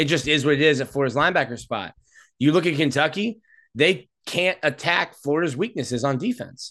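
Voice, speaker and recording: A man speaking at a fairly quick pace, bright and sharp in tone, with lively intonation against a quiet background. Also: fairly high pitch for a man. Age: 30s. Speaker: college football reporter. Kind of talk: casual sports analysis.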